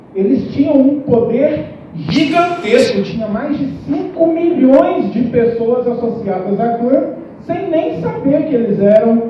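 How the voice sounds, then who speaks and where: Speaking very slowly, a woman uses a high pitch with very wide pitch swings. Audible room echo and noticeable background noise come through. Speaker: teacher giving a school talk. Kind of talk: lecture. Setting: school classroom or auditorium with audience. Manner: conversational, addresses audience directly.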